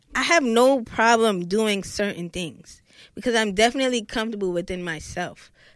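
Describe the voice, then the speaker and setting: A woman's fairly high voice in a Brooklyn accent, at a moderate pace with ordinary pitch variation, in a very clean recording with a silent background. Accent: New York, Brooklyn. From Brooklyn, New York. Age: 20s. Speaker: rapper. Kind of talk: casual chat.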